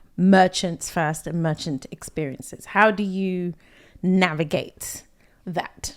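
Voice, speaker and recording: A woman speaks in a British accent at a medium pitch. The recording is very clean, with a silent background. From England, London. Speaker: podcast host, UX director. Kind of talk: casual interview.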